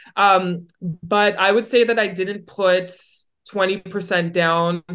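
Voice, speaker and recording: Fairly even intonation marks a woman's unremarkable speaking voice, medium in pitch, with a Canadian accent. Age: 20s. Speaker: real estate broker and retired athlete. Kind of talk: podcast interview.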